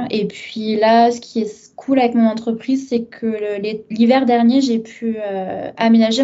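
Over noticeable background noise, a woman speaks at a fairly high pitch and a very slow pace. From southern France (Arles). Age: 30s. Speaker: translator, expat guest. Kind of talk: casual interview.

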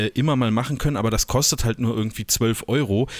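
The recording is very clean, with a silent background. A man talks at medium pitch and a fairly quick pace, with ordinary pitch variation. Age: 30s. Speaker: podcast co-host, photographer. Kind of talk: casual chat. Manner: halting, many fillers and repeats.

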